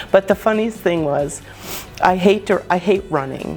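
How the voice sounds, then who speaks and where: Over music in the background, a woman speaks in an animated tone with an American accent, at a medium pitch with ordinary pitch variation. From New Jersey. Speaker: travel agent. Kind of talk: casual chat.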